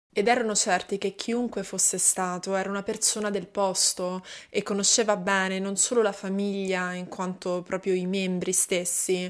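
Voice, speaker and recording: A woman talks with a serious tone at a moderate pace. The background is quiet. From Italy. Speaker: true crime YouTuber. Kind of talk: true-crime narration, solo monologue to camera. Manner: measured, steady storytelling pace, serious. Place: home room. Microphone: studio mic.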